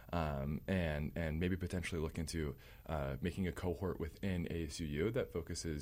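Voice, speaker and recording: Using a very deep, low pitch with vocal fry and ordinary pitch variation, a man talks at a fairly quick pace. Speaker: student government candidate. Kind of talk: interview.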